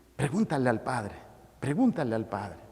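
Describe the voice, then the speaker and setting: His tone is dark and mellow, with very wide pitch swings. The man's pitch sits fairly high. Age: 60s. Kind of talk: sermon. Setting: church.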